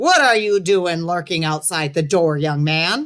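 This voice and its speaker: This booming, put-on character voice sits at a middle pitch. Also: fairly slow pace. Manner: stern, scolding.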